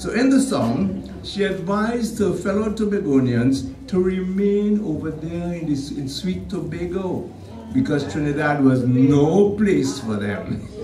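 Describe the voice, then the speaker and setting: Clear music plays behind a man speaking at a high pitch, with very wide pitch swings and audible room echo. His pace is fairly slow, with hardly any pauses. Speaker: radio/TV personality giving a tribute introduction. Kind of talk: tribute speech at a stage event. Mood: warm, lightly humorous. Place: church.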